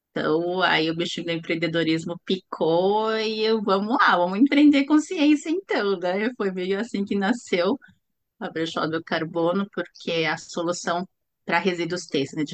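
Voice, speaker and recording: Speaking at a fairly slow pace, the voice is an ordinary speaking voice with lively intonation. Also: woman. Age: 50s. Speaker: startup founder, chemical engineer. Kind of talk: interview.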